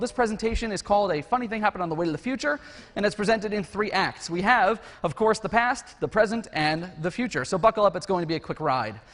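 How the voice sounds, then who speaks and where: Noticeable background noise sits under a man talking at a very fast pace. His pitch is high, with ordinary variation. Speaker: conference speaker; educational technologist. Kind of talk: conference talk; casual chat. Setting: stage with audience.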